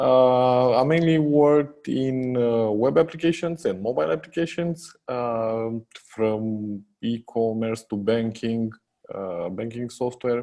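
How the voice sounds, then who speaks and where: A man with a Romanian accent speaks at a very slow pace in a dark, mellow tone. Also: medium pitch for a man, lively intonation. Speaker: software company co-founder. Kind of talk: podcast interview. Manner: hesitant, many fillers.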